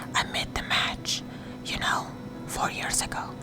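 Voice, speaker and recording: Music plays in the background as a woman whispers at a moderate pace. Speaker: narrator. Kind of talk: audiobook reading, sleep story. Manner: whispered.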